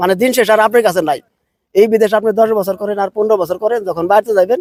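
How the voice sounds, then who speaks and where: The recording has a dry, close sound with no echo as a man speaks with a high pitch. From Bangladesh, Manikganj district. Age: 30s. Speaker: migrant worker, plumber. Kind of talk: interview.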